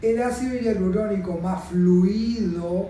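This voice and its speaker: Very slow speech with a Rioplatense accent comes through with audible room echo. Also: man. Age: 60s. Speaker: aesthetic doctor. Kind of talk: explaining a treatment to a patient on camera.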